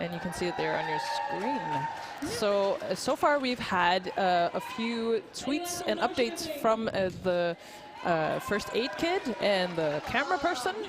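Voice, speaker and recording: A woman with a Danish accent speaks at a fairly slow pace, her pitch swinging very widely. There is noticeable background noise. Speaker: roller derby commentator. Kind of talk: live commentary.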